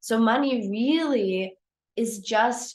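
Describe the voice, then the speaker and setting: The speaker has a German accent and lively intonation. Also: woman. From Germany. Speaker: photography business coach. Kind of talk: live-streamed coaching talk. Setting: livestream. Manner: casual, with many fillers.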